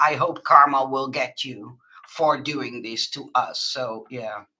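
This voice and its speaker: A woman with a Dutch accent speaks at a fairly slow pace in a bright, sharp tone with ordinary pitch variation. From Netherlands. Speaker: crafter and online shop owner. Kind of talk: live stream chat with viewers. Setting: live webcam stream. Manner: halting, many fillers.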